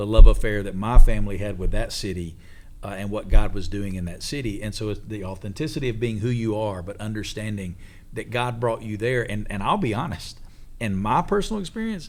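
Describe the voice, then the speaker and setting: Amid audible room echo, a man with an Alabama accent talks at a fairly quick pace in a fairly low voice, with ordinary pitch variation and big swings in loudness. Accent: Southern (Alabama), noticeable. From Alabama, US South. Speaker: pastor and church planter. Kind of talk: casual panel discussion.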